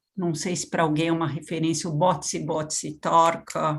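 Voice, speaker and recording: A woman with a French accent, fairly low in pitch, at a fairly slow pace against a quiet background. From Brazil, São Paulo. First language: French (speaking Portuguese). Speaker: education policy expert. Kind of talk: lecture.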